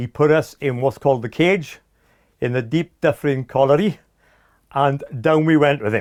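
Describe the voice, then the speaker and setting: A man with a Welsh Valleys accent and a fairly high pitch speaks at a moderate pace with ordinary pitch variation and long, frequent pauses, on a very clean recording with a silent background and a dry, close sound with no echo. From South Wales, Aberdare mining valley. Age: 60s. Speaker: former computer company employee. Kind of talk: oral history interview. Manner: hesitant, many fillers.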